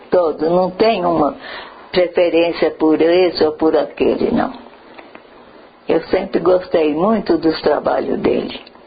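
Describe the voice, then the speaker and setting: Amid noticeable background noise, a woman speaks in a fairly low voice at a very slow pace with long, frequent pauses and very even loudness. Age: 90s. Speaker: artist's widow. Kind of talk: documentary interview.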